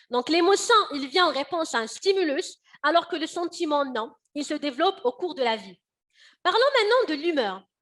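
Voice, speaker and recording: A woman talks at a moderate pace. Her extremely high voice swings very widely in pitch. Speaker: workshop presenter. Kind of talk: online workshop.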